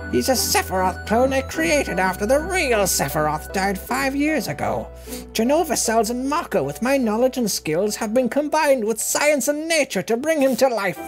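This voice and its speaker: Over clear music in the background, a put-on character voice with fairly high pitch moves at a moderate pace. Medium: game stream. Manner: arrogant, lecturing, gleeful.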